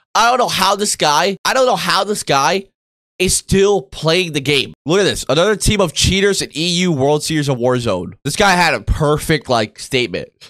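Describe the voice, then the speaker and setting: A man with a high-pitched, bright and sharp voice speaks in an animated way with lively intonation against a quiet background. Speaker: gaming youtuber. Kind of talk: angry rant. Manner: loud, indignant, swearing, fast and rambling; animated, exasperated. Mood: indignant, ranting. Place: home room.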